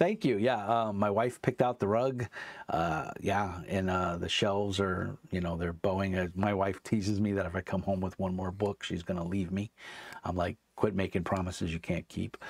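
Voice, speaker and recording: A man with an unremarkable speaking voice and an American accent talks at a moderate pace, fairly low-pitched with fairly even intonation. The sound is dry and close with no echo, in a very clean recording with a silent background. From US, New York (Brooklyn). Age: 50s. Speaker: tabletop game designer and author. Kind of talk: casual chat.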